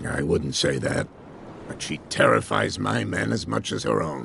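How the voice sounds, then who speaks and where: A man puts on a raspy character voice with a very deep, low pitch. He talks at a moderate pace over clear background noise. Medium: video game. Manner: warm, folksy.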